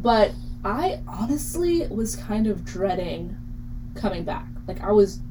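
At a very slow pace, a woman with an American accent speaks through audible room echo and noticeable background noise. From Ridgewood, New Jersey. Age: young. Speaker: college radio host. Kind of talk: casual chat.

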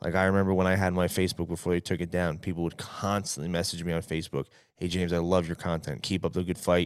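On a very clean recording with a silent background, a man with a New York accent speaks very fast in an animated tone at a very deep, low pitch. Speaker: guest co-host from another podcast. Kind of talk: casual chat.

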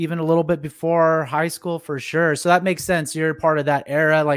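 A man speaks at a fairly quick pace with little pitch movement. His pitch sits fairly high.

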